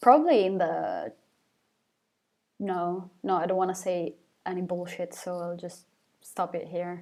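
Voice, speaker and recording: On a very clean recording with a silent background, a woman with an Italian accent speaks at a fairly slow pace and medium pitch, leaving long, frequent pauses. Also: ordinary pitch variation. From Italy. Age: 20s. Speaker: singer of a rock band. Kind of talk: live Q&A stream. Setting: live stream on camera. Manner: hesitant, repeats words.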